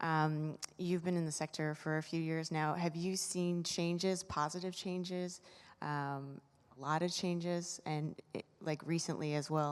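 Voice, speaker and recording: A soft-spoken woman talks at a fairly slow pace, her voice very deep and low. Her intonation stays monotone and flat, and the recording is very clean with a silent background. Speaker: audience member asking a question. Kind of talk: audience question. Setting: conference room with audience.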